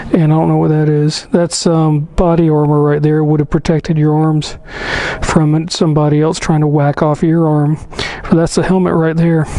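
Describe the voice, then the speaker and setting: Noticeable background noise sits behind a man speaking at a moderate pace. His fairly high voice keeps a monotone, flat intonation. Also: very even loudness. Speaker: motorcycle travel vlogger. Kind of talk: casual vlog walkthrough. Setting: museum exhibition room. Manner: halting, many fillers.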